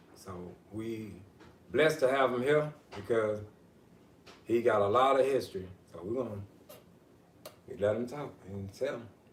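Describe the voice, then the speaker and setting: Long, frequent pauses mark a man's speech, which carries audible room echo. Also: medium pitch for a man, ordinary pitch variation, moderate pace. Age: young. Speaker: livestream host. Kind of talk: interview.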